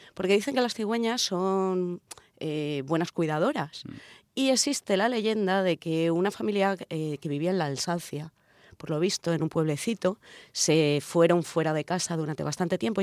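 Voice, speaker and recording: With lively intonation, a woman speaks at a fairly low pitch in a dry, close sound with no echo, on a very clean recording with a silent background. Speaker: radio show co-host. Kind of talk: casual chat with scripted segments. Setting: radio studio. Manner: exaggerated sensual voice in intro.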